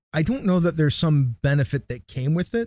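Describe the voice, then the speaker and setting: Somewhat breathy, a man talks at a fairly quick pace. The sound is dry and close, with no echo. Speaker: podcast host, reads intros. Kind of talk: casual chat about tabletop gaming.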